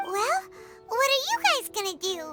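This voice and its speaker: An extremely high-pitched, squeaky put-on character voice with clear music in the background. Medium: video game. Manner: casual, friendly.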